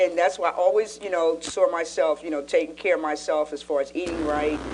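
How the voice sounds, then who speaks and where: A woman talks at a fairly quick pace in a fairly low pitch, with fairly even intonation. Noticeable background noise sits behind her. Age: 60s. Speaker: pastor and talk show co-host. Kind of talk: casual chat.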